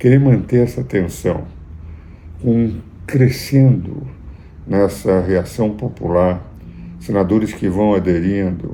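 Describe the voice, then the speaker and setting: Fairly low male voice with lively intonation, a very slow pace and long, frequent pauses, plus audible room echo. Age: 80s+. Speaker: jurist and political commentator. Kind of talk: political commentary.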